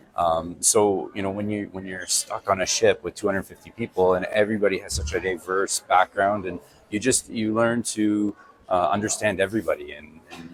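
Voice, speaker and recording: Against noticeable background noise, a man with a Canadian accent talks at a fairly quick pace, his fairly low voice keeping fairly even intonation. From Airdrie, Alberta, Canada. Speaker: city council candidate, military veteran. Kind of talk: interview answer.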